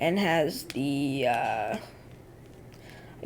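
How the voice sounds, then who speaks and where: A woman's voice with vocal fry and very wide pitch swings. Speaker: tech product reviewer. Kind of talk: product review tutorial. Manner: casual, hesitant fillers.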